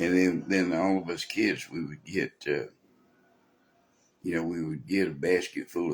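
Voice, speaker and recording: A man speaks at a moderate pace in a strong Texan accent. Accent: Texan, pronounced. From Texas. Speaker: preacher. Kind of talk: sermon. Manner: casual, folksy.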